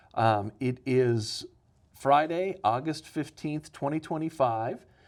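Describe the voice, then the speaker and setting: Heard on a very clean recording with a silent background, a man has a normal speaking voice with a medium pitch and ordinary pitch variation. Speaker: oral history interviewer. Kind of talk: interview questions.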